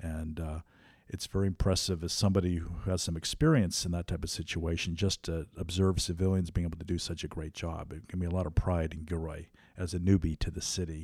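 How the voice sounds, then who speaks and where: With an American accent, a man talks at a fairly quick pace in a very deep, low, monotone voice. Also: very clean recording, silent background. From California, Morgan Hill. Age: 50s. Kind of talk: casual interview.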